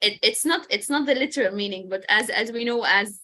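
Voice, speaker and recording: A woman with a bright, sharp tone and lively intonation. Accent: Arabic. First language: Arabic. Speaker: English teacher. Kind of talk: online language class.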